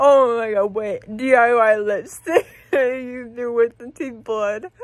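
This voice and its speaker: A woman with a high pitch speaks at a very slow pace, her loudness swinging widely, in a dry recording with no echo. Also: ordinary pitch variation, quiet background. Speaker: vlogger after dental surgery. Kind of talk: casual vlog chat. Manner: loopy, slurred anesthesia-high speech. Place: home room. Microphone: phone near.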